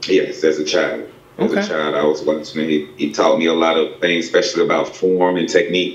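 A man with an American accent speaks at a very fast pace. Noticeable background noise and audible room echo fill the recording. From Spartanburg, South Carolina. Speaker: pro boxer and coach. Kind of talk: casual interview. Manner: halting, many repetitions and fillers.

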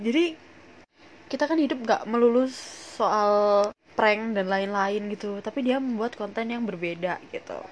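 Her pace is moderate. The woman speaks with lively intonation. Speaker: podcast host. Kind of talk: casual solo podcast chat.

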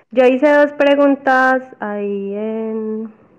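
The voice is an unremarkable speaking voice, and its pitch variation is ordinary. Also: woman. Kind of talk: casual chat. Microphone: dropped connection.

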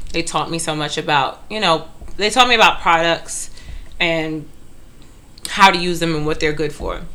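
A woman's fairly low voice at a moderate pace, with ordinary pitch variation, long, frequent pauses and audible room echo. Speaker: hairstylist co-host. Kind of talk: casual chat.

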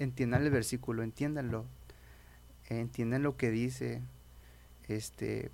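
Very clean audio with a silent backdrop, a male speaker keeping a moderate pace. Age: 20s. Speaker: evangelical youth leader. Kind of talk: casual interview testimony.

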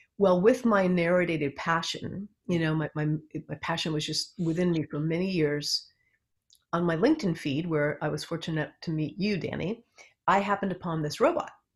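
A somewhat breathy woman's voice with an American accent, fairly low in pitch, with ordinary pitch variation. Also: moderate pace. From US West Coast, Los Angeles area. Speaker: psychotherapist. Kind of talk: interview.

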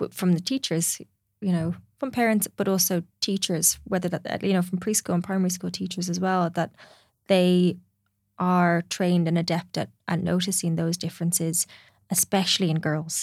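In a very clean recording with a silent background, a woman with an Irish accent speaks at a moderate pace, a fairly low pitch and with fairly even intonation. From Ireland. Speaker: clinical psychologist. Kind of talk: casual chat.

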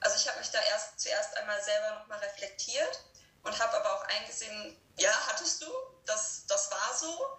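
Audible room echo follows a woman as she talks at a moderate pace. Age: 30s. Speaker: podcast guest sharing law of attraction experiences. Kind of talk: casual interview chat.

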